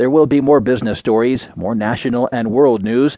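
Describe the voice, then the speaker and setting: A man with an ordinary speaking voice talks at a moderate pace, his medium pitch showing ordinary pitch variation. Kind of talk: newsreading. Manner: formal, even-paced, neutral delivery; measured, headline-style reading.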